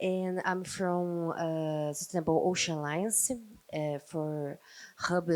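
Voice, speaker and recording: Spoken in a Portuguese accent, the speech moves at a very slow pace with fairly even intonation. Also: woman. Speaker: ocean nonprofit representative. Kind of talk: panel introduction. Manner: halting.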